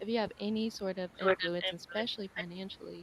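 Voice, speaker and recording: Quiet and very fast, a woman speaks at a medium pitch. Her intonation is monotone and flat. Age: young. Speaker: videographer and photographer. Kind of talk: audience comment.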